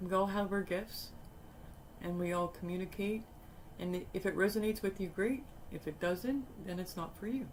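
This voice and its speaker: A soft-spoken woman at medium pitch and moderate pace, with ordinary pitch variation and long, frequent pauses. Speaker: tarot reader. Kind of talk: tarot reading.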